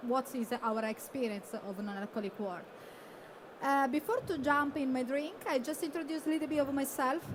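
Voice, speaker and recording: A woman with an Italian accent speaks at a moderate pace and a high pitch, with ordinary pitch variation. Background noise is noticeable. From Italy. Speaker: bartender. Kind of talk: presentation. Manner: halting.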